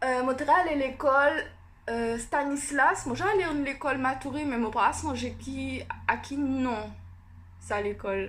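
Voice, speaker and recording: A woman speaks at a fairly slow pace with a high pitch. The room adds an audible echo. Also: ordinary pitch variation. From French Guiana (Cayenne area). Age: 20s. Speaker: beauty youtuber. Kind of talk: casual vlog. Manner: hesitant, many fillers.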